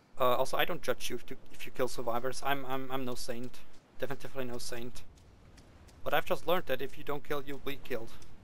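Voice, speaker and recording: A medium-pitched man with a Swiss accent, very fast, monotone and flat, with very even loudness. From Switzerland. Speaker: gaming let's player. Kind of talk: gameplay commentary. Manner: hesitant, many fillers; casual, profane.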